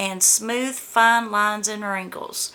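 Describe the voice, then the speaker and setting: A woman speaks at a fairly high pitch against noticeable background noise. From US South, Georgia. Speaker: beauty vlogger. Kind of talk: product unboxing review. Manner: casual, chatty.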